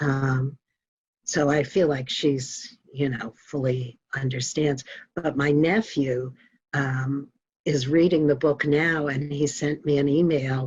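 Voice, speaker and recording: The speech unfolds at a very slow pace, with music in the background. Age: 60s. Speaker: author. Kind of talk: interview. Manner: hesitant, many fillers.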